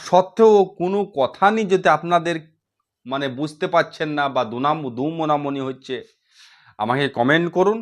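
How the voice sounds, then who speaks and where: A man's intonation is lively, captured in a very clean recording against a silent background. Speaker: Hindi language teacher. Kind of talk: tutorial.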